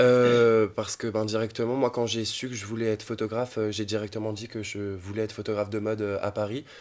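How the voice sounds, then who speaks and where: With hardly any pauses, a man speaks at a fairly quick pace in a fairly low, monotone, flat voice. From rural France. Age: 20s. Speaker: photographer and art director. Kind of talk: interview.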